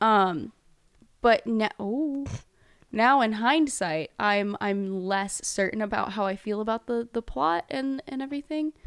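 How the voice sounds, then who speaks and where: An ordinary speaking voice from a woman with an American accent, fairly high in pitch, with lively intonation at a fairly slow pace, in a dry, close sound with no echo on a very clean recording with a silent background. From Texas (Houston). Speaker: college admissions counselor. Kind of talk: casual chat.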